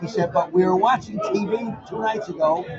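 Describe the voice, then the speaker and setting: There is noticeable background noise. A man with an American accent speaks at a fairly quick pace. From US Northeast, Connecticut. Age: 70s. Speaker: reality TV personality. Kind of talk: casual chat. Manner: animated.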